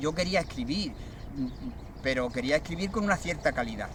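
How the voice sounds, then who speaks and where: Talking at a fairly quick pace, a man with fairly high pitch uses ordinary pitch variation. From Andalusia, Cádiz province (Barbate). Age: 60s. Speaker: poet. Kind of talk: interview testimony. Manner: hesitant, many fillers.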